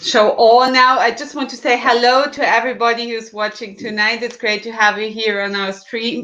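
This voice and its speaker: Over noticeable background noise, a woman with a German accent talks at a fairly high pitch with fairly even intonation and hardly any pauses. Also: moderate pace. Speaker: livestream host. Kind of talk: livestream interview.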